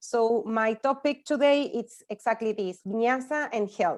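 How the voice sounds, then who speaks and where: Her high voice moves at a very slow pace with ordinary pitch variation, on a very clean recording with a silent background. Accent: Spanish. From Spanish-speaking country. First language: Spanish. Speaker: yoga teacher. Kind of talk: conference talk. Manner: halting.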